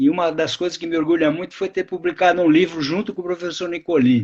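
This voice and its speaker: A man speaks with lively intonation at a high pitch. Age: 80s+. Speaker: retired biologist and author. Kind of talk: live interview. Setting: live stream video call.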